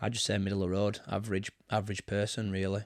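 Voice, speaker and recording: A man with a Barnsley accent speaks in a fairly low pitch with monotone, flat intonation, in a very clean recording with a silent background and a dry, close sound with no echo. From Yorkshire, Barnsley area (from age seven). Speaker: football manager. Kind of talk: casual interview. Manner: hesitant, many fillers.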